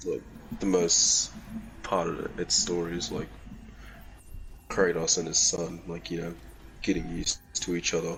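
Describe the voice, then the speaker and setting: Noticeable background noise surrounds a man with a very deep, low voice and ordinary pitch variation. He keeps a moderate pace but leaves long, frequent pauses. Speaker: gaming video host. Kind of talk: casual chat.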